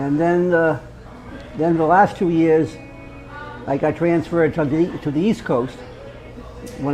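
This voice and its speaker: With music in the background and audible room echo, a man talks at a moderate pace and fairly high pitch, his intonation fairly even. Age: 70s. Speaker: military veteran. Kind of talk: roundtable storytelling. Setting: roundtable at a local venue. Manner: halting, many repetitions.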